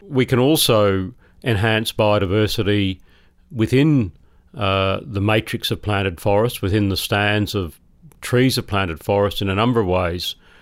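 With an Australian accent, a man speaks in a fairly low pitch. His pace is moderate, and his pitch variation is ordinary. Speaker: professor. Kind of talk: interview. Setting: remote studio.

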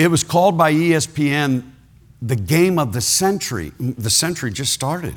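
In an American accent, a man with a plain, everyday voice talks at a fairly high pitch and a moderate pace with lively intonation. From Ohio. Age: 60s. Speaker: retired pastor, guest preacher. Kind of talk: sermon. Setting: church service with congregation.

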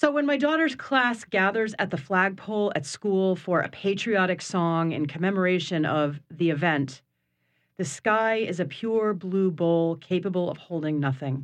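Against a quiet background, the speech moves at a moderate pace. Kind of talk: poetry reading, spoken-word style, mixing narrative and quoted voices. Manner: measured, storytelling cadence with shifts into quoted voices.

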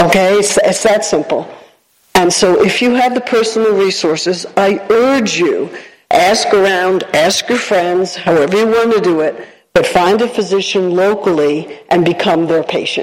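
Here a woman with an unremarkable speaking voice talks at a medium pitch, with ordinary pitch variation and very even loudness. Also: moderate pace. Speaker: audience member, Red Cross volunteer. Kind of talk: audience comment. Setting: stage with audience.

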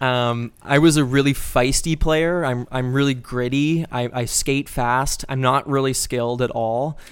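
Speaking fairly slowly with hardly any pauses, a man with a Canadian accent uses an ordinary speaking voice at medium pitch. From Calgary, Alberta (moved from Toronto at twelve). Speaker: podcast co-host and actor/improviser. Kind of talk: casual chat.

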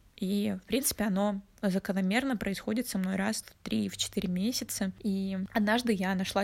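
The woman's pitch is medium, with a normal speaking voice. She keeps her intonation fairly even. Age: 20s. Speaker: podcast co-host. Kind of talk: casual chat. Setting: call.

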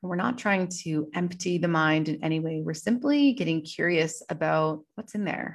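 This woman has a normal speaking voice, fairly low in pitch, with ordinary pitch variation and hardly any pauses. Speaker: podcast host and yoga teacher. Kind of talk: guided meditation. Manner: slow, calm, soothing, gently paced with pauses; soft-spoken, warm and instructive.

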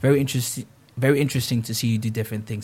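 A man speaks at a medium pitch in a monotone, flat intonation with a somewhat breathy sound. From Netherlands, with Ghanaian roots and school years in Ghana. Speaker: account executive and gaming network founder. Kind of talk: interview.

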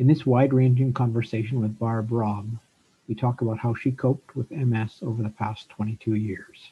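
A man speaks at a moderate pace in a Canadian accent, his medium-pitched voice dark, mellow and somewhat breathy, with fairly even intonation. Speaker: podcast co-host and author. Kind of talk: interview. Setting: video call.

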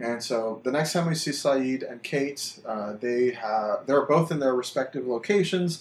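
Using a normal speaking voice, a man talks at a medium pitch and fairly slow pace with ordinary pitch variation and hardly any pauses. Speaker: podcast host. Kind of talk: casual chat.

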